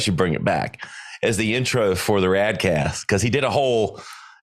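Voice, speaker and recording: In a strong Southern US accent, a man speaks at a moderate pace on a very clean recording with a silent background. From US South, South Carolina. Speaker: marketing agency owner and podcaster. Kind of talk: podcast interview.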